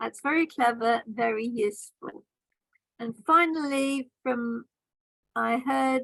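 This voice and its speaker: A woman with a British accent talks very slowly in a high voice with ordinary pitch variation. She leaves long, frequent pauses. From Britain. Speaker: grammarian at a speaking club meeting. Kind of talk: meeting evaluation feedback. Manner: formal.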